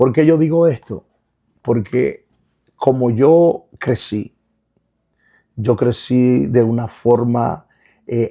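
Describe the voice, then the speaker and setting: Very slow pacing from a man at medium pitch, dark and mellow in tone, with ordinary pitch variation and long, frequent pauses. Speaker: pastor and author. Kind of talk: interview. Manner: halting, repeats words.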